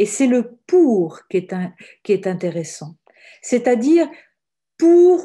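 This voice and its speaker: A woman's fairly high voice, dark and mellow in tone, with very wide pitch swings. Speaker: religious sister and author. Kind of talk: webinar talk. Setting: online webinar.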